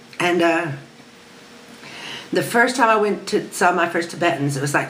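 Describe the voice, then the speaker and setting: With an American accent, a woman talks at a moderate pace with ordinary pitch variation, amid audible room echo and noticeable background noise. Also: fairly low pitch for a woman. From United States. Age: 60s. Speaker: spiritual seeker interviewed for documentary. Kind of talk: interview storytelling. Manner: halting, many fillers and restarts.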